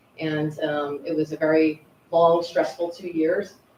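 With an American accent, a woman speaks at a fairly low pitch for a woman over noticeable background noise. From Pennsylvania. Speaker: Marine first sergeant. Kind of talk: public introduction at township meeting.

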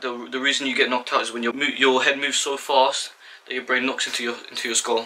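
There is light background noise behind a man. He talks at a very fast pace with monotone, flat intonation. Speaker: boxing instructor. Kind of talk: tutorial. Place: home room. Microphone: camera far.

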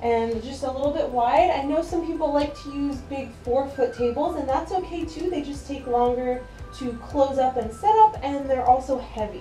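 With faint music in the background and audible room echo, a woman speaks in a high voice at a fairly slow pace with ordinary pitch variation. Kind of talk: tutorial. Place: home room. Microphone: camera far.

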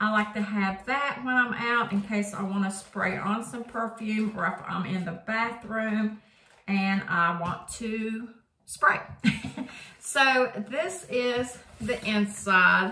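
At a very slow pace, a woman speaks with ordinary pitch variation amid audible room echo. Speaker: product reviewer. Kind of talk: casual vlog chat. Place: home room. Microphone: phone near.

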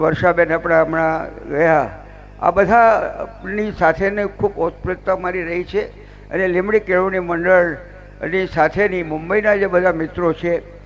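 A man speaks in a high pitch with monotone, flat intonation over noticeable background noise. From Gujarat, Limbdi (Jhalawad), born in Kutch. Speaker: politician, former student. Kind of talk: ceremonial speech.

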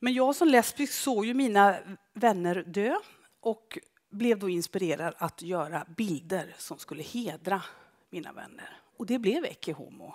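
Against a quiet background, a woman's voice swings widely in pitch and loudness. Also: medium pitch for a woman, fairly slow pace. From Skara, western Sweden; western Sweden. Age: 50s. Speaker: photographer. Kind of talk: public talk with slides. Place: stage. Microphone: headset.

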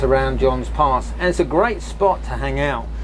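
A man at a moderate pace amid noticeable background noise. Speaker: boat tour host. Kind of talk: casual tour commentary. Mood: enthusiastic, relaxed. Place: boat.

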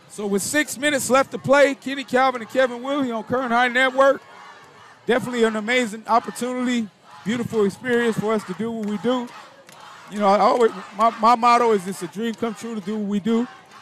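An extremely high-pitched male voice at a very fast pace, with fairly even intonation and noticeable background noise. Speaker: play-by-play announcer. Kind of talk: live commentary. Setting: stadium broadcast.

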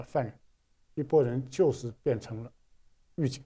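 A man's dark, mellow, somewhat breathy voice at a moderate pace, over a quiet background. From China. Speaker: artist recounting art school life; interview guest, art commentator. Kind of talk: interview. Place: studio.

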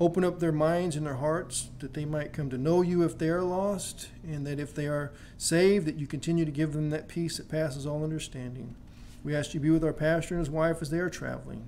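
A man talks at a fairly quick pace with fairly even intonation over light background noise. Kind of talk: prayer. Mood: reverent, calm. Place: church. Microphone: podium.

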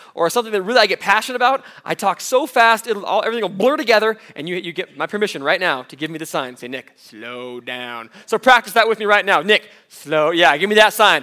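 A man with a high-pitched, bright, sharp voice talks very fast in a raised, projected voice with very wide pitch swings. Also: quiet background. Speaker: youth pastor; guest preacher. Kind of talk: sermon. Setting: stage with audience. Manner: animated. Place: church.

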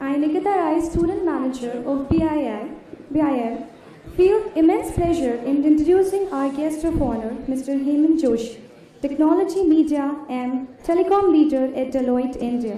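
With audible room echo, the voice moves at a moderate pace with ordinary pitch variation. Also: woman, high pitch for a woman. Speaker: student event host. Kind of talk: formal introduction speech. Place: hall. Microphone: podium.

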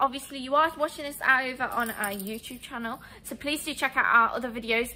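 A woman speaks in a high pitch. Her tone is bright and sharp.

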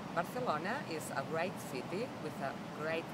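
A woman is heard over loud background noise. The sound itself is dry, with no echo. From Barcelona, Spain. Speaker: tour guide. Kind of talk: promotional self-introduction to camera. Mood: warm, friendly. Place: open country.

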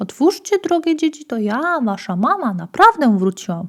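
A woman uses a put-on character voice, high in pitch. She talks at a fairly quick pace with very wide pitch swings. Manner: deceptive, feigned sweetness.

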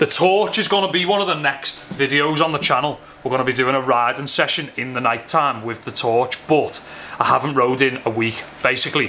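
A man's fairly quick speech with ordinary pitch variation, plus light background noise. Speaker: vlogger. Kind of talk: casual vlog chat. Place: garage. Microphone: phone near.

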